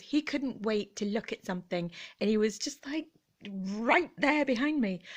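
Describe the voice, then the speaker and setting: Against a quiet background, the voice has a gentle tone and a bright, sharp tone, moving at a fairly slow pace with very wide pitch swings. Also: woman. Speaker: vlogger. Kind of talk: casual chat. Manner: animated.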